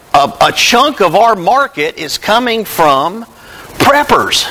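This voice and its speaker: In a Tennessee accent, someone speaks at a very slow pace against noticeable background noise. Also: man. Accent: Southern US (Tennessee). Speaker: preacher. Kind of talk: sermon.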